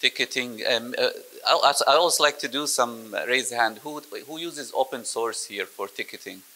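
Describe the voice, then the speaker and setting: At a fairly slow pace, a man is speaking. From Egypt. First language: Arabic (speaking French). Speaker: IT operations software presenter; presenter. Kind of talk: technical sales presentation. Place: meeting room. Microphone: handheld.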